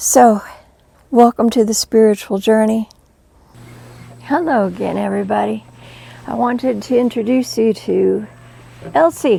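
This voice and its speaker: With long, frequent pauses, a woman speaks at a fairly slow pace. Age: 60s. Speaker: spiritual teacher and near-death experiencer. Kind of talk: inspirational talk.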